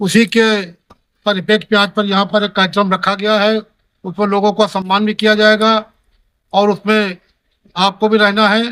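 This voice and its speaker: Speaking at a moderate pace with long, frequent pauses, a man uses a high pitch, a bright, sharp tone and a monotone, flat intonation. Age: 70s. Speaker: politician. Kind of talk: speech to reporters at community meeting.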